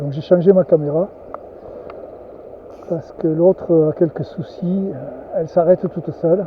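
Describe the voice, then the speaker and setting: Soft-spoken at a fairly slow pace, the voice leaves long, frequent pauses over noticeable background noise. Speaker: angler. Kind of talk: vlog narration. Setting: outdoors by a river. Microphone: new camera mic, poor nasal sound.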